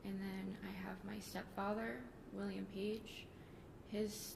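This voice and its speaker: The woman here speaks at a fairly slow pace. Noticeable background noise and audible room echo are present. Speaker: police officer testifying at trial. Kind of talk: court testimony. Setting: courtroom microphone. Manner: soft-spoken. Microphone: too quiet, far from the mic.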